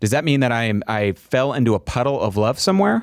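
On a very clean recording with a silent background, a man at medium pitch uses a plain, everyday voice with lively intonation and a dry, close sound with no echo. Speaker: podcast host. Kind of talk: casual conversational podcast discussion on faith.

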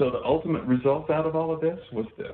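Here a man with an American accent speaks with fairly even intonation. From Texas (Amarillo, Panhandle). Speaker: dentist. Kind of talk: webinar presentation. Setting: webinar / webcast.

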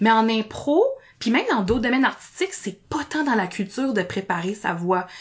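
Somewhat breathy and animated in tone, the speaker keeps a moderate pace with lively intonation. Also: woman, fairly high pitch for a woman. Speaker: speech therapist and improviser. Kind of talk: podcast interview.

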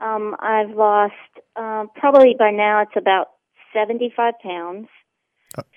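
A woman with a fairly high pitch speaks at a very slow pace, with long, frequent pauses. Her intonation stays fairly even. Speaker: client sharing weight loss testimony. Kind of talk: testimony.

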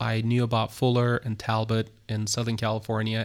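On a very clean recording with a silent background, a man talks at a moderate pace and medium pitch in a monotone, flat way. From Turkey, Istanbul. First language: Turkish. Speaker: pastor. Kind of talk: interview. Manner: halting.

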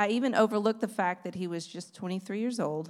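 A woman's medium-pitched voice with lively intonation and a Texan accent. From East Texas. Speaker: former missionary sharing testimony. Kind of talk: testimony.

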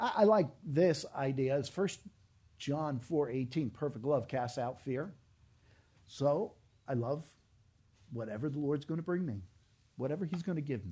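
Speaking at a fairly slow pace with long, frequent pauses, a man with a fairly high pitch sounds somewhat breathy, his tone dark and mellow and his intonation lively, over a quiet background. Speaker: pastor. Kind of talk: sermon.

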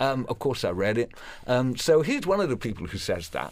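In a Welsh accent, a man at medium pitch speaks with very wide pitch swings. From Wales. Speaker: professional storyteller. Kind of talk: radio interview; storytelling performance.

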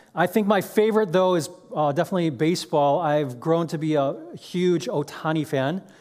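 With music in the background, someone speaks in an American accent at a moderate pace with ordinary pitch variation. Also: man, fairly high pitch for a man. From Chicago, US Midwest. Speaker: guest preacher and seminary professor. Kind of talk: sermon. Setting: church.

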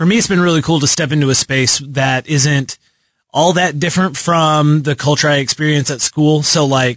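Over a quiet background, a man with an American accent talks at a fairly quick pace in a plain, everyday voice with ordinary pitch variation. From Texas, Lubbock. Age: 20s. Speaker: marketing intern. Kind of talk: casual chat. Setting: radio studio.

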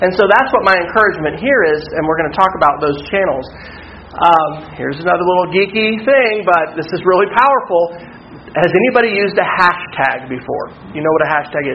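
Noticeable background noise surrounds a man with an American accent talking at a moderate pace in a high pitch. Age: 40s. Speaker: workshop presenter, school technology director. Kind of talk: conference workshop talk. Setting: workshop room with live audience.

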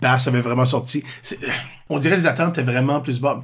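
The man's voice is somewhat breathy. His pitch is medium. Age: 40s. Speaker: improviser and drama teacher. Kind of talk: casual chat.

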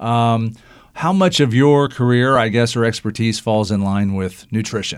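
Here is a man with an unremarkable speaking voice, medium pitch and ordinary pitch variation. He talks at a moderate pace in a very clean recording with a silent background. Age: 50s. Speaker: radio talk show host. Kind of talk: casual interview. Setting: studio.

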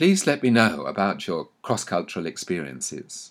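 With a southern English accent, a man of medium pitch speaks with very wide pitch swings on a very clean recording with a silent background. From England, London (Anglo-Welsh). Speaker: author. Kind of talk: scripted narration. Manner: formal.

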